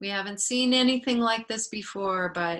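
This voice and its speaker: A woman speaks in a calm tone with ordinary pitch variation. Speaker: family therapist. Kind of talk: webinar interview. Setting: live video webinar. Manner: slow.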